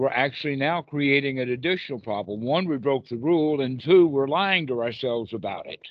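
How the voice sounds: Reading in a natural voice, the speaker lets the pitch move in an ordinary way.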